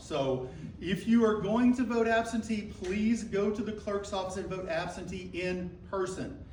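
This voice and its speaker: A man speaks loudly at a high pitch with ordinary pitch variation, amid audible room echo and noticeable background noise. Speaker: county election commission member. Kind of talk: audience interjection at public forum. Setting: public library meeting with audience, speaking without mic.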